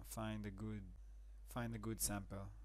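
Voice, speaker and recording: A man's voice with audible room echo. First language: not English. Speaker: music production tutor. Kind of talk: tutorial. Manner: halting, many fillers.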